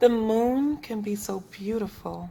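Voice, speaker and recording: The speaker uses a put-on character voice. The delivery is fairly slow. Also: woman. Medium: read story.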